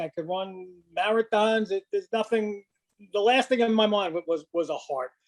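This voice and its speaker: Heard dry and close with no echo, a man speaks at a moderate pace with a high pitch and ordinary pitch variation. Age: 60s. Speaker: retired podiatrist and marathon runner. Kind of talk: interview testimony. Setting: podcast interview. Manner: halting, with many fillers and repeats.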